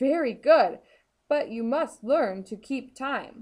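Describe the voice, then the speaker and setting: A woman shouting in a put-on character voice, high-pitched. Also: fairly slow pace. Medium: read story. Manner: loud, shouting.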